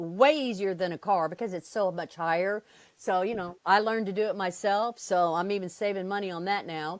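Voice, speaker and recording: At a fairly quick pace, a woman with an ordinary speaking voice talks at medium pitch with ordinary pitch variation on a very clean recording with a silent background. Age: 60s. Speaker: RV traveler. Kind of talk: interview.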